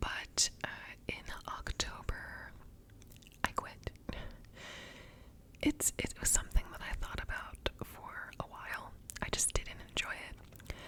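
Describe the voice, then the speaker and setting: A woman whispers at a very slow pace, with long, frequent pauses. Background noise is noticeable. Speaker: ASMR creator. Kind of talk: ASMR whispered ramble to camera. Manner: whispered.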